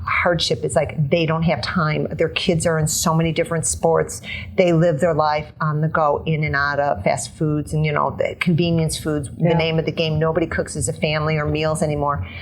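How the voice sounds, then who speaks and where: Over noticeable background noise, a woman with a very deep, low pitch talks at a fairly quick pace with fairly even intonation and hardly any pauses. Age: 50s. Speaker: fitness trainer. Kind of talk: interview answer.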